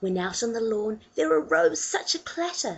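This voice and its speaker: A woman speaks at a fairly slow pace. Her voice is fairly high-pitched and somewhat breathy. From New Zealand. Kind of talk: poetry reading.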